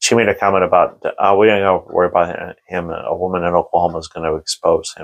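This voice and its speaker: A man talks at a very fast pace. He hardly pauses at all. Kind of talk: casual commentary vlog. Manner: halting, frequent fillers and restarts.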